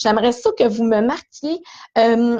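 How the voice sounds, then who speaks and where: With lively intonation, a woman talks over a quiet background. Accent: Quebec. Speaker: hairdresser. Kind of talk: live stream tutorial. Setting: small esthetics cabin in salon. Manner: fast; casual.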